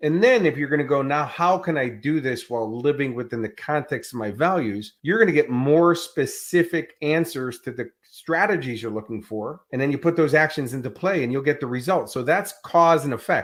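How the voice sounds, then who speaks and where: Over a silent background on a very clean recording, a man with an American accent talks at a moderate pace with hardly any pauses, his fairly high pitch carried by lively intonation. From US Midwest, Chicago. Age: 60s. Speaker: life and business coach. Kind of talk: interview. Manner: animated.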